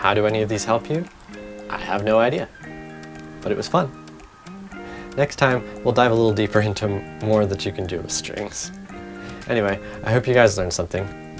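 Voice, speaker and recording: With music in the background, a man speaks at a fairly low pitch and a fairly quick pace, broken by long, frequent pauses. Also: ordinary pitch variation. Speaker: programming learner / tutorial maker. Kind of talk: casual coding tutorial talk. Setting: home recording with background hiss.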